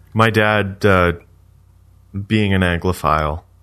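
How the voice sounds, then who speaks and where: Against a quiet background, a man with a Canadian accent speaks with fairly even intonation. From Canada. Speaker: podcast co-host. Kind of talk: casual chat.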